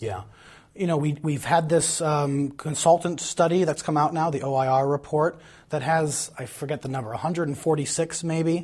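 A man speaks at a moderate pace in a fairly high pitch, somewhat breathy, with ordinary pitch variation. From Madison, Wisconsin. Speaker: political candidate. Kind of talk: candidate interview.

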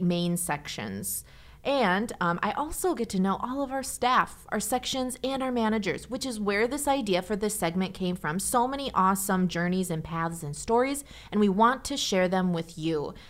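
In a very clean recording with a silent background, a woman with a plain, everyday voice speaks at a medium pitch and moderate pace, with lively intonation and hardly any pauses. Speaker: podcast host and public information officer. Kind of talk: interview, casual chat with scripted intro.

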